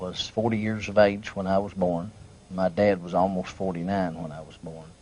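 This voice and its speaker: Very deep, low male speech, intonation fairly even. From southern Oklahoma, Jefferson County. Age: 50s. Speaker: pastor. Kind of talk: oral history interview. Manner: hesitant with many fillers.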